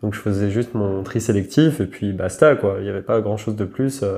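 A man's fairly low voice with a dark, mellow tone, fairly even intonation and a fairly quick pace, over a quiet background. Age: 20s. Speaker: entrepreneur. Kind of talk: interview. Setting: at the guest's home.

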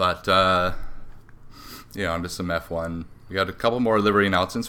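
This man's voice is very deep and low. His tone is bright and sharp. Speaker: podcast co-host. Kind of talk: casual chat.

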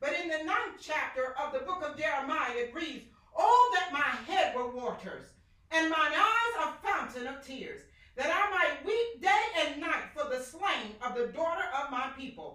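A woman's raised, projected voice, high-pitched, bright and sharp, animated in tone, with very wide pitch swings at a moderate pace. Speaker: evangelist and preacher. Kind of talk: sermon, fervent preaching with scripture and call-and-response. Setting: online church service podcast. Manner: animated, impassioned, carried away by the word.

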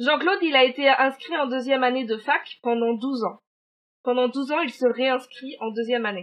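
Pitched high, a woman talks with ordinary pitch variation. Her pace is moderate. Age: 30s. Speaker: podcast co-host. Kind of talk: true-crime storytelling in casual chat. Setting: remote recording.

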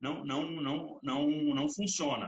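A man is talking. The variation in his pitch is ordinary. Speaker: podcast host and sales trainer. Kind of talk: casual interview chat; podcast monologue with tips. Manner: animated.

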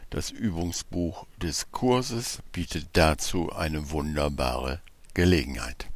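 At a very slow pace, a man with a very deep, low voice and vocal fry speaks with lively intonation. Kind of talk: guided meditation. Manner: slow, calm and soothing, with long pauses; soft-spoken, gentle and instructive.

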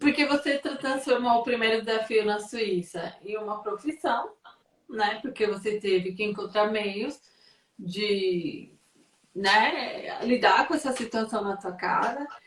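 Speaking at a very slow pace, a woman uses a fairly high pitch, ordinary pitch variation, and a somewhat breathy voice. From São Paulo, Brazil. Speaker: content creator and live-stream host. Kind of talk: live video interview.

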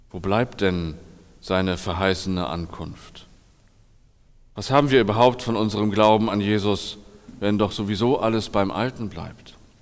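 In a room with audible echo, a man speaks at a fairly low pitch and a moderate pace, with ordinary pitch variation and long, frequent pauses. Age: 40s. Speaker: pastor. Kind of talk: sermon.

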